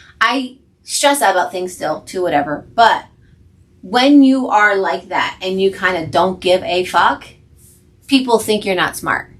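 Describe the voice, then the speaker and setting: A woman speaks with a New Jersey accent at a fairly slow pace. Her medium pitch carries lively intonation. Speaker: podcast co-host, nurse. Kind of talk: casual chat. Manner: animated.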